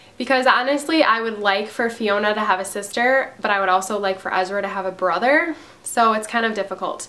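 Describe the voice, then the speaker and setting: Fairly quick speech from a woman comes through noticeable background noise, her pitch varying in an ordinary way. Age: 20s. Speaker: mom vlogger. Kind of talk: casual Q&A vlog.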